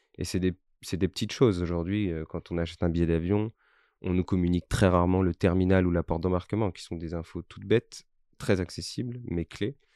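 A man speaks at a fairly quick pace in a very deep, low pitch with a dark, mellow tone and fairly even intonation. His loudness swings widely, and the sound is dry and close with no echo against a quiet background. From Corsica. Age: 20s. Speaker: startup founder. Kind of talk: interview. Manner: halting, many repetitions.

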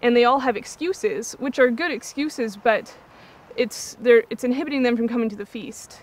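Talking at a fairly quick pace, a woman keeps her intonation fairly even. The sound is dry, with no echo. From US Pacific Northwest, Yakima, Washington; Washington. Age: 20s. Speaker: reality show contestant, missionary. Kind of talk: interview. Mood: earnest, heartfelt about faith. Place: waterside. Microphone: lapel.

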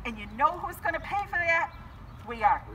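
A woman's raised, projected voice at a fairly quick pace, with very wide pitch swings and light background noise. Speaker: activist speaker. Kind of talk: rally speech. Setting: outdoors, car protest gathering. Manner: earnest, urgent; animated, persuasive. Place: street.

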